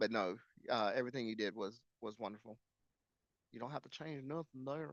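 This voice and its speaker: A man's medium pitch with ordinary variation, at a fairly quick pace. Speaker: energy broker, salesperson. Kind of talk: live sales calls and coaching. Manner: fast; halting, filler-heavy.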